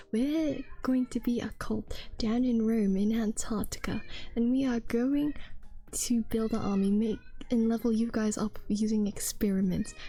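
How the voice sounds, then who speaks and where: The voice is whispering. The pace is fairly slow. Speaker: streamer. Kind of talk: casual chat.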